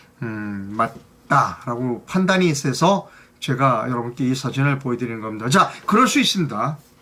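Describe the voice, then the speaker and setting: A man with a medium pitch talks at a moderate pace with lively intonation. Background noise is noticeable. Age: old. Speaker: news commentary host. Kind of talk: news commentary monologue. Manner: hesitant, many fillers.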